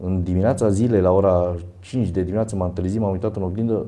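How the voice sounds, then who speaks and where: A man talks at a very fast pace in a fairly low pitch. His tone is dark and mellow, and his intonation fairly even. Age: 50s. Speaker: fitness athlete and university lecturer. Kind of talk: interview.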